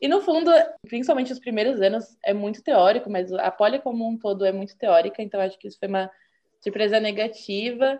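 An ordinary speaking voice from a woman, fairly high in pitch, with lively intonation, a fairly quick pace and big swings in loudness. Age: 20s. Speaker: engineering student, former student association president. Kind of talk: interview.

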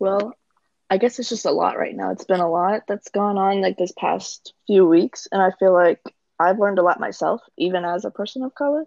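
This is an unremarkable speaking voice. It keeps a moderate pace, and its pitch varies in an ordinary way. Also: woman, medium pitch for a woman, dry, close sound with no echo. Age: 20s. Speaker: guest. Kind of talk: casual chat.

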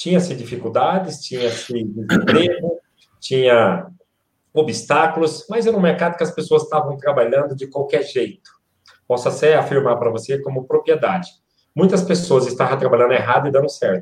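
The man's pitch is fairly high, with lively intonation. His voice is somewhat breathy. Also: moderate pace. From Ceará, Brazil (Quixeramobim). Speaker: motivational speaker. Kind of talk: live-stream interview.

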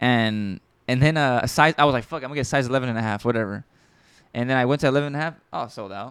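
This man's speech moves at a very fast pace. His pitch shifts in an ordinary way. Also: medium pitch for a man, very clean recording, silent background. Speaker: podcast host. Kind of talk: casual chat between friends. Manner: stuttery, rambling, fast thinking.

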